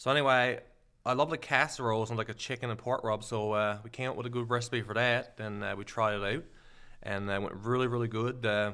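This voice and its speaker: A man in a strong Newfoundland accent speaks at a very fast pace, with medium pitch and fairly even intonation. His tone is bright and sharp, on a very clean recording with a silent background. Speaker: social media creator and seasoning entrepreneur. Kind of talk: casual chat.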